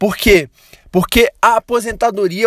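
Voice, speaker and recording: With a silent background on a very clean recording, a man speaks fairly slowly. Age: 20s. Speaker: podcast host. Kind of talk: solo podcast monologue about a book. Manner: casual, many filler words and hesitations.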